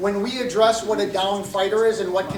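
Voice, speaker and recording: Through audible room echo and noticeable background noise, a man speaks at a high pitch and a fairly quick pace. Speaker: MMA referee. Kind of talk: rules briefing. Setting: meeting room with microphone.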